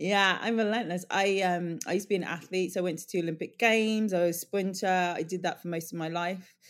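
The speaker has a London accent and talks at a very fast pace. There are hardly any pauses. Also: very clean recording, silent background. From Northwest London. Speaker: beauty brand co-founder. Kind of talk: casual chat. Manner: halting.

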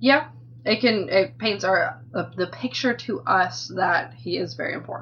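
At a fairly slow pace, a woman speaks with a medium pitch that swings very widely. Noticeable background noise runs underneath. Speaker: book club podcast guest. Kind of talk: casual chat.

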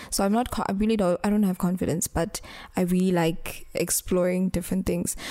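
A woman at medium pitch with a dark, mellow tone speaks at a fairly quick pace, her intonation monotone and flat and her loudness very even. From Eswatini. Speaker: pageant contestant. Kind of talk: interview. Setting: studio.

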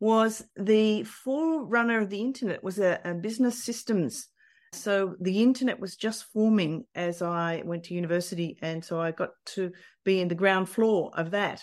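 The pace is moderate. The background is quiet. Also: woman, medium pitch for a woman, ordinary pitch variation. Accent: Australian. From Australia. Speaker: business leader. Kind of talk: interview.

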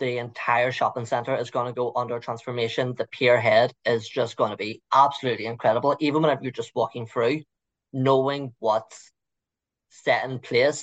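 A man with a Liverpool accent at a fairly quick pace, against a quiet background. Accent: Scouse. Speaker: local city guide guest. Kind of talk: interview.

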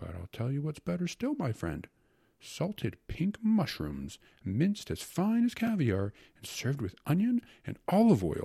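A man's fairly slow put-on character voice, fairly high in pitch with very wide swings, a dark, mellow tone, a slightly husky edge and vocal fry

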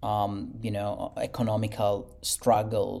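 A man's dark, mellow voice with an Italian accent. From Italy. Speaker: architect. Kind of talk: interview. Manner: halting, many fillers and repetitions.

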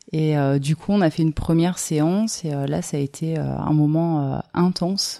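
A woman speaks in a fairly low pitch. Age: 30s. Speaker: rope bondage teacher and artist. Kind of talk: interview. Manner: halting.

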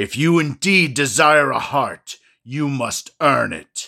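A man speaks at a fairly slow pace in a gruff, put-on character voice. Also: fairly high pitch for a man, very clean recording, silent background. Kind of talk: stern, commanding.

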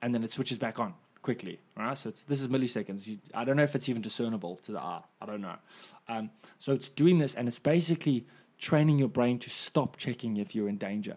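The recording is very clean, with a silent background. A man at medium pitch talks very fast with ordinary pitch variation. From South Africa. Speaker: stand-up comedian. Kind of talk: casual chat.

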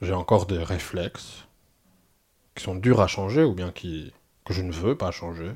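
A somewhat breathy man's voice, very deep and low, at a fairly slow pace with long, frequent pauses, ordinary pitch variation and big swings in loudness, on a very clean recording with a silent background. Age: 40s. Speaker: former cult member. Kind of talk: testimony. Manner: halting, many hesitations and repetitions.

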